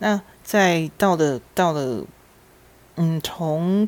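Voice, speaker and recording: Her voice has a very deep, low pitch. The woman's pitch moves with ordinary variation. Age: 50s. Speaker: podcast host. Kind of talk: personal storytelling monologue.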